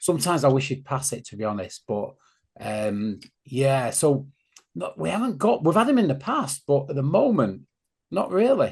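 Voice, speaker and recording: A somewhat breathy man with a Greater Manchester accent, fairly high pitch, very wide pitch swings and a moderate pace, against a quiet background. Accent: local Stockport accent, obvious. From northern England, Stockport. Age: 50s. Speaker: football fan podcaster. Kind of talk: casual chat.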